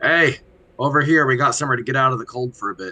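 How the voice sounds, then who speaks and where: Using a put-on character voice, a man talks at a very fast pace in a raspy, medium-pitched voice. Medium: actual play.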